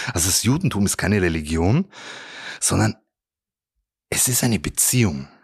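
This man's fairly low voice carries lively intonation, with a dry, close sound and no echo. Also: very clean recording, silent background. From Bavaria, Germany (Regensburg). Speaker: rabbi. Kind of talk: motivational talk. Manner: animated.

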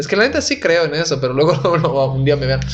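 Over noticeable background noise, a man speaks at a fairly quick pace in a fairly high pitch. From Italy. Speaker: stand-up comedian. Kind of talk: casual chat.

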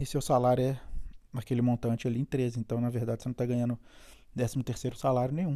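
With a Brazilian accent, a man speaks at a very fast pace yet leaves long, frequent pauses. His medium-pitched voice has a dark, mellow tone and monotone, flat intonation. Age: 40s. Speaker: immigrant podcaster. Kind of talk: solo podcast monologue. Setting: at home. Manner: casual, hesitant with fillers.

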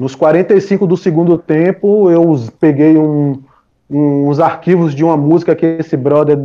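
This man has a fairly high pitch and a plain, everyday voice. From Brazil, Salvador, Bahia. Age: 40s. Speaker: music producer and DJ. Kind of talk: casual interview chat.

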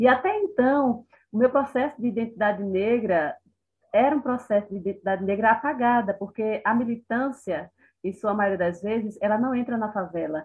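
A woman with a plain, everyday voice talks at a moderate pace, her fairly high pitch showing ordinary variation. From Brazil, Recife (Pernambuco). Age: 40s. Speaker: writer and educator. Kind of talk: interview conversation.

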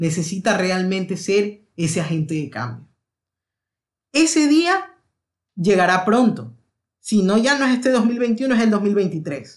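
Pausing long and often, a man speaks very slowly in a high pitch that swings very widely. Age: 20s. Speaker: youth political leader. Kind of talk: casual chat.

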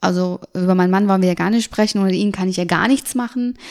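Fairly even intonation from a woman at medium pitch, very clean recording, silent background. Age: 30s. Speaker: make-up artist and cosmetics entrepreneur. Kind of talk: interview.

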